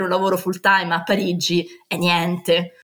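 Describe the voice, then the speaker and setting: A woman is speaking. Her pace is moderate. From Rome, Italy. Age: 20s. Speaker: landscape architect. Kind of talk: interview testimony. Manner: animated.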